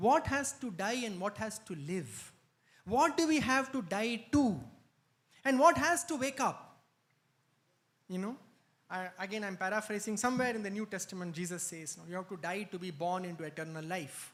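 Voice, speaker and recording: A man with a non-native accent speaks at a high pitch, with very wide pitch swings and long, frequent pauses. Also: moderate pace. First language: not Telugu. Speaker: spiritual speaker. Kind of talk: spiritual talk.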